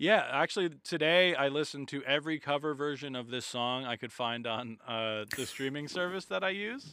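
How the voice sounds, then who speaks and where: This man has an ordinary speaking voice at a fairly high pitch. He talks at a moderate pace with lively intonation. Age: 30s. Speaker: comedian. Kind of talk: casual chat.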